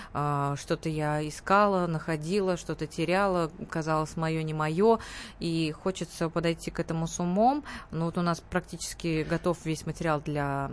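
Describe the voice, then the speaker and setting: This woman has an unremarkable speaking voice, fairly low in pitch. Her intonation is fairly even and her pace moderate. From Tatarstan, Russia (Nizhnekamsk). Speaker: pop and opera singer. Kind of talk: radio interview. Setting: radio studio.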